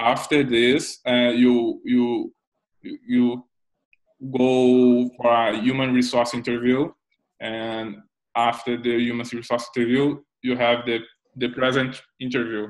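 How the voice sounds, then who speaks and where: Very slowly and in a monotone, flat intonation, a man speaks with long, frequent pauses over a quiet background. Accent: Brazilian. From Brazil, Rio de Janeiro. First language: Portuguese. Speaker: software developer; interviewee. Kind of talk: interview. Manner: halting. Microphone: earbuds.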